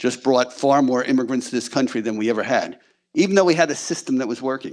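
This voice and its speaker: A man speaks in a plain, everyday voice at medium pitch. His pitch varies in an ordinary way against a quiet background. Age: 60s. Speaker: congressional candidate. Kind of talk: campaign speech.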